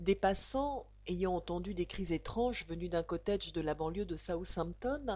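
Lively intonation runs through this reading aloud in a natural voice.

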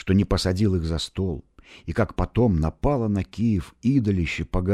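The pitch shifts by ordinary amounts in a natural reading voice.

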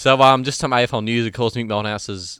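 A man speaks at a very fast pace. He has an Australian accent. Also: very clean recording, silent background. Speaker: podcast co-host. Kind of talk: casual chat.

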